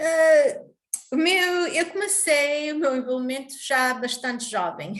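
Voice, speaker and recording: With audible room echo, a woman talks in an American accent. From US, Newark, New Jersey, Portuguese family. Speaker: business owner and club president. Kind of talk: interview. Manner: hesitant, many fillers.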